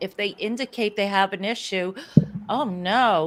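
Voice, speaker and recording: A medium-pitched woman with a US Northeastern accent at a fairly slow pace. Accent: US Northeast. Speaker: sales business owner. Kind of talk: interview.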